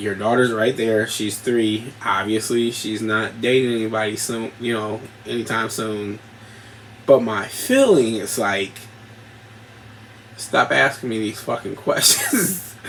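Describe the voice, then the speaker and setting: A man talks at a fairly slow pace with fairly even intonation. Noticeable background noise runs behind him. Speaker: podcast host. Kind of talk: casual monologue.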